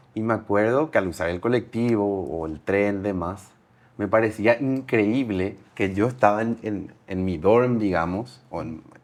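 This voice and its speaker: A man's fairly low-pitched, normal speaking voice at a fairly slow pace, with ordinary pitch variation over a quiet background. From Paraguay. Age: 30s. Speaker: entrepreneur. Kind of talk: interview.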